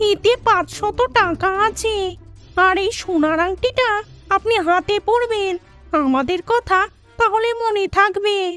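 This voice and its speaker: Over faint background music, a woman puts on a character voice. She speaks at a fairly slow pace. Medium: read story. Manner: courteous but eerie.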